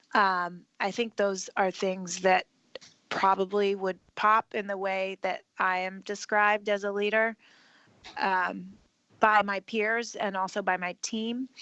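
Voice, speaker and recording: The voice has a bright, sharp tone and monotone, flat intonation at a very slow pace. The sound is dry and close with no echo. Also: woman, medium pitch for a woman. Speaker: marketing executive. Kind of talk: interview.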